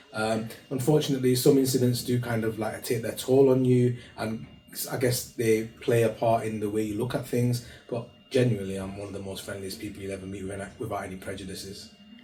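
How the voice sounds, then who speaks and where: A man with a medium-pitched voice speaks at a fairly quick pace with fairly even intonation and big swings in loudness. Music plays in the background and the room echo is audible. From northwest England, Bolton. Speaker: charity founder. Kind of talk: interview. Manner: hesitant, many fillers.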